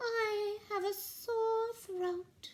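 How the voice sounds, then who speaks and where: Soft-spoken and squeaky, a woman puts on a character voice at an extremely high pitch with fairly even intonation. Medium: read story. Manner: polite, gentle.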